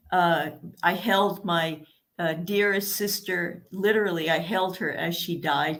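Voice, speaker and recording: A woman speaks at a fairly slow pace in a fairly low pitch, with fairly even intonation. Audible room echo surrounds her voice. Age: 70s. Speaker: author. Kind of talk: interview. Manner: halting.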